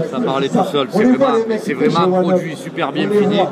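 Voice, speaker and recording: Crowd noise fills the background. The speech moves at a fairly quick pace with lively intonation. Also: man. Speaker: fishing tackle representative. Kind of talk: interview answer.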